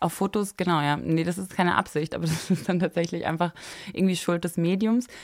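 Fairly quick and fairly even in intonation, a woman speaks with a fairly low pitch. The recording is very clean, the background silent. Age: 20s. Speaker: fashion blogger and entrepreneur. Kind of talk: casual chat. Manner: many fillers and hesitations.

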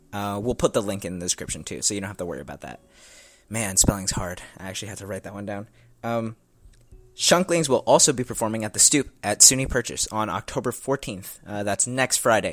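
An ordinary speaking voice from a man, fairly low in pitch, at a fairly quick pace, with ordinary pitch variation and big swings in loudness. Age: 19. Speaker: podcast host. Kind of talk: casual interview; scripted outro.

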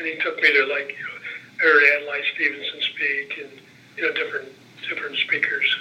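Noticeable background noise under a man's moderate pace, broken by long, frequent pauses. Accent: Midwestern American. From northern Indiana (LaPorte). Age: 70s. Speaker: retired legislator and lobbyist. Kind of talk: oral history interview.

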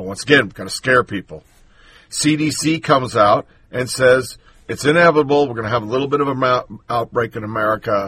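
Speaking at medium pitch, a man shows ordinary pitch variation. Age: 50s. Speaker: political podcast host. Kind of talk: solo political commentary. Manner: softer than usual.

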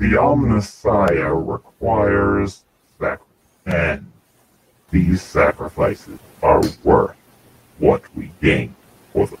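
A man performs a put-on character voice. He talks at a fairly slow pace with long, frequent pauses. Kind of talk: grandiose villain speech. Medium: actual play. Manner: cold, haughty, zealous.

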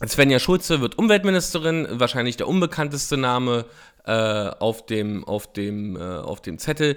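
Pitch swings very widely as the speaker goes at a fairly slow pace. The recording is very clean, with a silent background. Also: man, medium pitch for a man. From eastern Germany, Frankfurt (Oder). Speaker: political podcaster. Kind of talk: solo political commentary. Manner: hesitant, many filler sounds.

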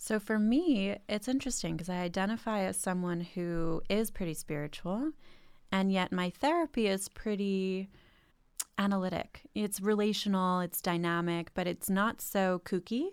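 A woman speaks with ordinary pitch variation in an ordinary speaking voice. The recording is very clean, with a silent background. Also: medium pitch for a woman, moderate pace. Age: 20s. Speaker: social worker and startup founder. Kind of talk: casual chat.

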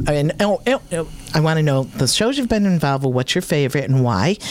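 Over noticeable background noise, a woman speaks. Her very deep, low voice has lively intonation. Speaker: radio host. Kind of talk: casual chat. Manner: animated.

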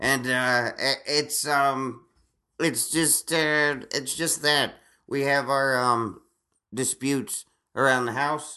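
Against a quiet background, a man with a fairly high pitch speaks very slowly in a bright, sharp tone, his intonation monotone and flat and his loudness very even. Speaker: stand-up comedian. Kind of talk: casual chat. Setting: home recording. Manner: halting.

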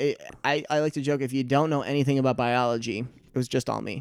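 A man with an American accent, a plain, everyday voice, a medium pitch and fairly even intonation. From Michigan. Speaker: stand-up comedian. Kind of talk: casual chat. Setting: studio.

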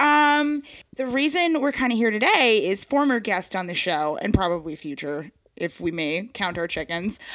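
A woman with an American accent speaks at a fairly high pitch, using very wide pitch swings. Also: moderate pace. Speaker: comedy podcast co-host. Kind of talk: casual chat. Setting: house basement. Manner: animated.

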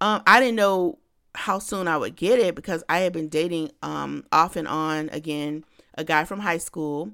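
A woman with a fairly low voice speaks at a moderate pace in a bright, sharp, animated tone. Her pitch varies an ordinary amount, and the recording is very clean with a silent background. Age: 40s. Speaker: podcast host. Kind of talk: casual monologue.

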